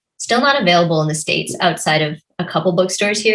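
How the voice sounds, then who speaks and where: Here is a plain, everyday voice with lively intonation. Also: woman. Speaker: novelist. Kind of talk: conversational interview.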